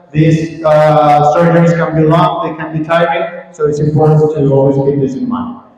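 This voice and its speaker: A fairly high male voice at a moderate pace with hardly any pauses, fairly even intonation, audible room echo and noticeable background noise. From Colombia. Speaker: gynecologic surgeon. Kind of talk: conference lecture. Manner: hesitant fillers.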